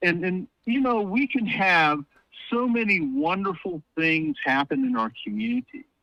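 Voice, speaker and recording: With an American accent, a man at a high pitch uses a raised, projected voice at a fairly slow pace, swinging very widely in pitch at a very even loudness, in a dry, close sound with no echo. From US South. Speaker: political commentator, academic. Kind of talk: casual chat. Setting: phone call.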